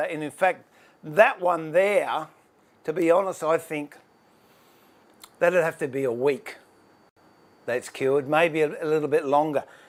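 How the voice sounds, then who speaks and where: This man speaks with an Australian accent. His pace is moderate. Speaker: woodworker and furniture maker. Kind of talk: tutorial. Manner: casual, chatty with fillers; higher pitch and louder when live.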